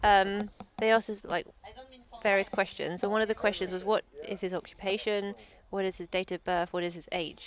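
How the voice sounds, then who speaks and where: A woman with a southern English accent at medium pitch, fairly quick in pace yet broken by long, frequent pauses, her intonation monotone and flat. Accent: British, southern English. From London, England. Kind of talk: casual chat.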